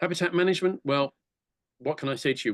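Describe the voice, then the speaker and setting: Talking very fast, a man speaks with an English accent. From England. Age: 60s. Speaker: conservation charity director giving a talk. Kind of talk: lecture. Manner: halting.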